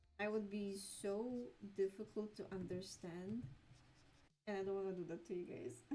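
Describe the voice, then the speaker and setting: Over noticeable background noise, a woman with a medium pitch talks at a moderate pace, using ordinary pitch variation and long, frequent pauses. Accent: non-native. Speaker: streamer and artist. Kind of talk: casual chat while drawing on livestream. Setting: livestream.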